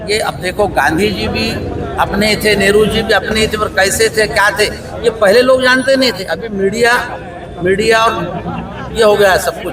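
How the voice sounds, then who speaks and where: With crowd noise in the background and audible room echo, a man speaks in a high pitch with fairly even intonation. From Maharashtra, Vidarbha (Wardha district). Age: 60s. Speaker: retired medical representative, interviewee at protest. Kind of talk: street interview. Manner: halting, with fillers.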